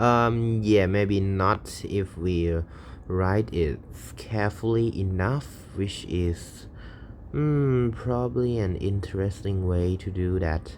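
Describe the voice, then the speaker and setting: The delivery is very slow with ordinary pitch variation. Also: man, fairly low pitch for a man. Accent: Thai. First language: Thai. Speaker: programming streamer. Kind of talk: coding tutorial. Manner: thinking aloud, halting.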